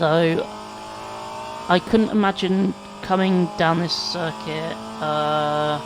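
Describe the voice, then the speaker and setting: With long, frequent pauses, the speech goes at a very slow pace over noticeable background noise. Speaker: sim racing gamer. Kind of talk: gameplay commentary. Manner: halting, stumbling over words.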